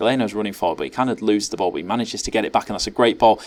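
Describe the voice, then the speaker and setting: This is a man speaking with an English accent. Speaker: gaming YouTuber. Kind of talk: gameplay commentary. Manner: fast; animated.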